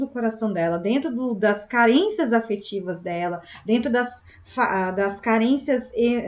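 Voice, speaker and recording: A woman with a southern Brazilian accent, fairly high pitch, and lively intonation. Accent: gaúcho Brazilian Portuguese. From southern Brazil (Rio Grande do Sul). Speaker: spiritist meeting host. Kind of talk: group discussion.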